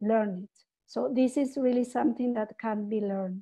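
Against a quiet background, a woman with a Spanish accent speaks with ordinary pitch variation. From Peru. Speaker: webinar presenter. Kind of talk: webinar presentation. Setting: video call. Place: home room. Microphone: webcam.

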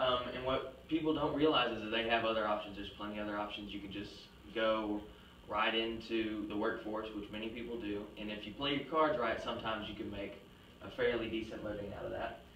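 A man at a fairly quick pace with fairly even intonation, amid audible room echo and light background noise. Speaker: presenter. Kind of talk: class presentation argument. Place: classroom. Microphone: camera far.

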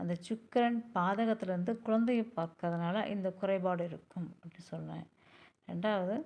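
A woman's unremarkable speaking voice of medium pitch, fairly even intonation and big swings in loudness. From Pollachi, Coimbatore district, Tamil Nadu. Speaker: astrologer. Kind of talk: tutorial.

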